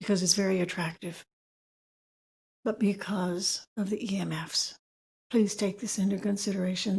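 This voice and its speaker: Somewhat breathy woman's voice at medium pitch, dark and mellow in tone, at a moderate pace. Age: 70s. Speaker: public commenter. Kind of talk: public comment. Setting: city planning meeting.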